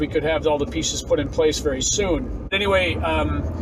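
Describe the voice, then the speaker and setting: A man with an American accent talks at a fairly quick pace. Noticeable background noise and audible room echo surround him. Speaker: musician. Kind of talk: vlog monologue. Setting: in a car. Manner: hesitant, many fillers.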